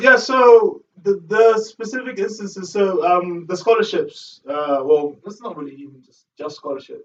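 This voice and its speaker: A man is speaking. He mumbles his words. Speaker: student speaker for a refugee education charity. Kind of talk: casual chat. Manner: mumbling.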